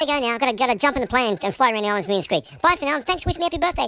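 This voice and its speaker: Clear background noise sits behind a put-on character voice that runs at a very fast pace in a fairly high pitch. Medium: role play. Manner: chatty, upbeat.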